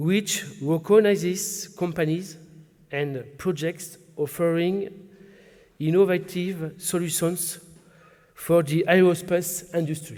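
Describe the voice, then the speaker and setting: With a French accent, a man speaks very slowly in a high pitch and fairly even intonation. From southwest France. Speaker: regional business chamber president. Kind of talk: formal speech. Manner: formal.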